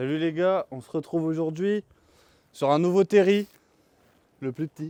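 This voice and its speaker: A man speaks at a fairly slow pace in a dark, mellow tone with ordinary pitch variation. His loudness swings widely, and the sound is dry and close with no echo. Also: fairly high pitch for a man. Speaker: vlogger. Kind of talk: vlog narration; casual chat.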